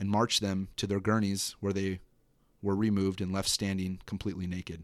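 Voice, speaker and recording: Speaking at a fairly quick pace, a man with a fairly low pitch is heard on a very clean recording against a silent background. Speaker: podcast host and horror writer. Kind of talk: horror audiobook narration, first-person dread, read aloud from his own short story. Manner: halting, casual, filler-heavy in the intro.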